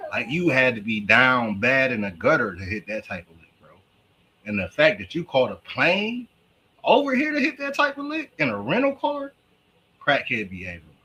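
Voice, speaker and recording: The speaker is a man at a moderate pace. His loudness swings a lot. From Cleveland, Ohio, US. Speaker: livestream reaction host. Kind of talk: live stream reaction commentary. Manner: animated.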